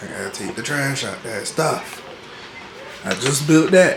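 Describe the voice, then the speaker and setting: A man at a fairly slow pace with ordinary pitch variation, audible room echo and noticeable background noise. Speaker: college student vlogger. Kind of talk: casual vlog room tour. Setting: college apartment room. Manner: whispering.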